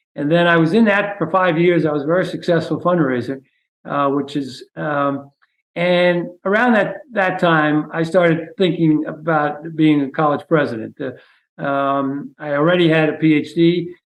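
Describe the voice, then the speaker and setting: This man has a New York accent and a fairly high pitch. He goes at a moderate pace with ordinary pitch variation. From New York City (the Bronx). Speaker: retired university president. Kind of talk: interview. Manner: hesitant, many fillers.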